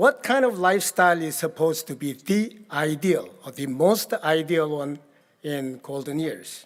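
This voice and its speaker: Speaking fairly slowly with a Korean accent, a man uses a fairly high pitch and ordinary pitch variation on a very clean recording with a silent background. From Korea, rural village. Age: 80s+. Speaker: keynote speaker. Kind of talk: keynote speech. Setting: gala stage with audience. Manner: halting.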